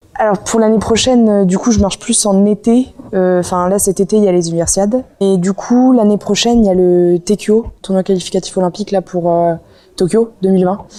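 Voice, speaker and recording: A woman at a medium pitch, with fairly even intonation and a moderate pace. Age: 20s. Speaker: student athlete, water polo player. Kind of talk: interview testimony. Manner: hesitant, many fillers.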